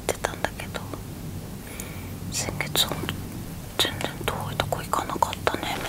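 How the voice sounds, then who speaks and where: There is loud noise in the background. A woman speaks over it at a moderate pace. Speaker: ASMR creator. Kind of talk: ASMR bedtime chat. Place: home room.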